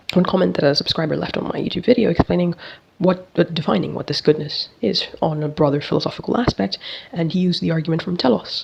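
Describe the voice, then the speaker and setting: A woman with a non-native accent talks at a very fast pace with lively intonation. Her pitch is fairly low, and there is noticeable background noise. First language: not English. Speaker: philosophy video creator. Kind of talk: casual monologue on philosophy. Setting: bathroom, recording alone.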